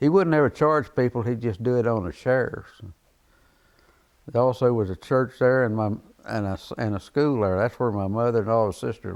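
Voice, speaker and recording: This man talks with a Central Texas accent at a medium pitch. His pace is fairly quick and his pitch varies in an ordinary way. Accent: Central Texas rural. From Texas, Dripping Springs. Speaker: oral history interviewee. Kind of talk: oral history interview.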